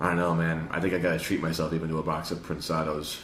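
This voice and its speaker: A man with a Chicago accent talks at a very fast pace, very deep in pitch and monotone in intonation. There is audible room echo and noticeable background noise. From Chicago, US Midwest. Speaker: podcast host, retail salesperson. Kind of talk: casual chat.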